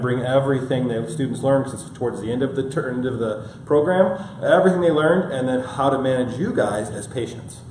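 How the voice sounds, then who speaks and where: A man speaks at a very fast pace and medium pitch with ordinary pitch variation, over noticeable background noise and audible room echo. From Michigan. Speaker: functional medicine practitioner. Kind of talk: health seminar lecture.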